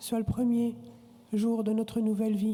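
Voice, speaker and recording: Her pitch sits fairly high and her pace is fairly slow. The woman's intonation stays flat and monotone. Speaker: shamanic water ceremony leader, leading a prayer to the spirits of the directions. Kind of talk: ritual invocation / prayer.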